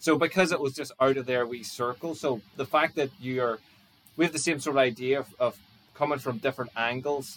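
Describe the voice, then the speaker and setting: This man has a normal speaking voice pitched in the middle range. His intonation is fairly even throughout. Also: fairly quick pace. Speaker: podcast host. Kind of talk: interview chat.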